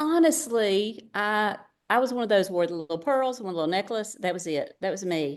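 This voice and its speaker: Against a quiet background, a woman speaks at a moderate pace in a medium-pitched voice. Her pitch swings very widely. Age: 60s. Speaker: retired teacher and direct seller. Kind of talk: podcast interview. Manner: animated.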